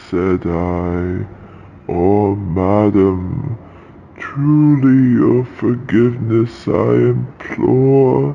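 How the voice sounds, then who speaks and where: A man speaks very slowly at a fairly low pitch, his intonation lively. Clear background noise is present. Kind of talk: horror narration. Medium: read story. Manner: slow, solemn, dramatic.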